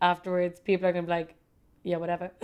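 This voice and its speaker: A woman with a Dublin accent speaks at a fairly low pitch in a monotone, flat intonation. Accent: Dublin Irish. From Ireland, Dublin. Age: 30s. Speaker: fashion designer. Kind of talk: casual interview chat. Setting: her studio.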